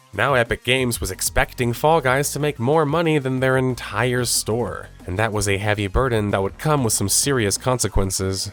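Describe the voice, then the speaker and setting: A man speaks at a moderate pace with a fairly low pitch and ordinary pitch variation. Music plays in the background. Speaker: gaming video essayist. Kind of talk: video essay narration.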